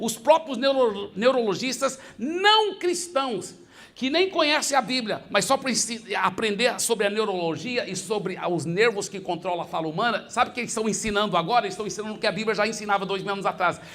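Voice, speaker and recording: Animated and quick, a man with a high voice speaks with lively intonation. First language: English (speaking Portuguese). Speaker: pastor. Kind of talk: sermon.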